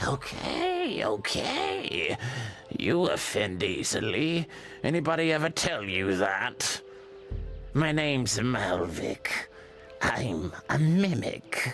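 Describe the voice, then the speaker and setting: Over clear music in the background, a man in a raspy, put-on character voice talks at a very slow pace and medium pitch. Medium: game stream. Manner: sarcastic.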